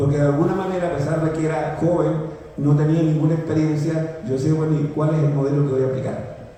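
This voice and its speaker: Moderately paced speech from a man with a fairly high voice, audible room echo and noticeable background noise in the recording. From southern Chile, Los Ríos region. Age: 70s. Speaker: pastor. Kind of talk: sermon.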